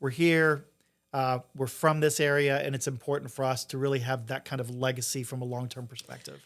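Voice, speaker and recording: In an American accent, a man of medium pitch speaks fairly quickly with monotone, flat intonation on a very clean recording with a silent background. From Eastern Kentucky, US (Appalachia). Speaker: investor, venture fund founder. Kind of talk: podcast interview.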